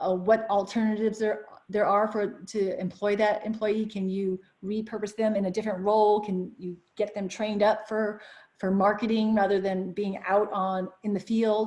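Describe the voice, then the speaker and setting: Her intonation monotone and flat, a woman speaks at a medium pitch. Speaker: business lawyer presenting a webinar. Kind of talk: webinar presentation. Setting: online webinar broadcast. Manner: fast.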